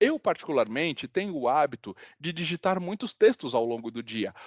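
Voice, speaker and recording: A man talks at a fairly quick pace. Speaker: software trainer. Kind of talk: online workshop demonstration. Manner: hesitant, repeats words.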